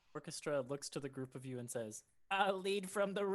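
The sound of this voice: The speaker uses an unforced reading voice. Their intonation is lively.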